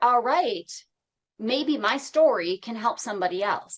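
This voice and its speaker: A woman speaks with a high pitch. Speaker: radio show host. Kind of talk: interview.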